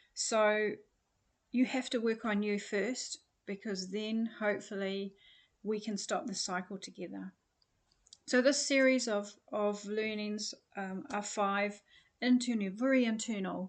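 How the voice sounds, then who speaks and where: Her pace fairly slow and her intonation fairly even, a woman speaks with long, frequent pauses. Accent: New Zealand. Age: 60s. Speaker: personal development coach. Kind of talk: online course introduction. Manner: hesitant, many fillers.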